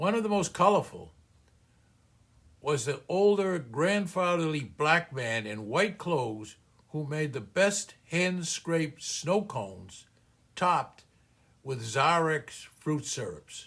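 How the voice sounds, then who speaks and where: A man's fairly high voice with a Boston accent and very wide pitch swings, at a very slow pace, in a very clean recording with a silent background. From US Northeast, Boston (Cambridge). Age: 80s+. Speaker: small business coach. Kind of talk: personal story narration.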